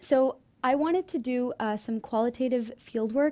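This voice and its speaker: Speaking at a moderate pace with an American accent, a woman has a high pitch and a dark, mellow tone. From US, Indian Marathi-speaking family. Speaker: undergraduate student presenter; presenter. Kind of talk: student presentation. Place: classroom. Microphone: podium.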